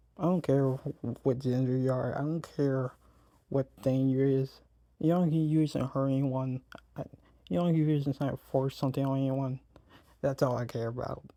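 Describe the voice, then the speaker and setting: The speaker has an American accent and a moderate pace. There are long, frequent pauses. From United States. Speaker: YouTuber. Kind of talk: reaction video commentary. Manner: casual, halting with repetitions.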